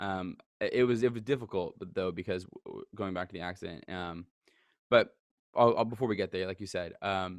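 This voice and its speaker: A man talks in an ordinary speaking voice at a fairly low pitch and a fairly quick pace, with ordinary pitch variation and big swings in loudness. The sound is dry and close with no echo, over a quiet background. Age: 20s. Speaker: photographer and social media creator. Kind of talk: casual interview. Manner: fast.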